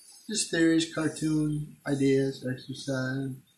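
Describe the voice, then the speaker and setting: Fairly slow speech comes through with audible room echo and light background noise. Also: man. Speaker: self-filming vlogger. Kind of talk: freeform philosophical rambling, semi-rhymed. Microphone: phone near.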